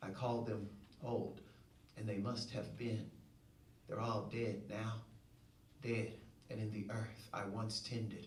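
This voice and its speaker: A man with a Southern US accent speaks at a fairly slow pace in a medium pitch, his intonation monotone and flat and his loudness very even, with long, frequent pauses. Noticeable background noise and audible room echo fill the recording. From Shreveport, Louisiana, US South. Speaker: poet. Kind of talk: poetry reading. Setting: stage with audience.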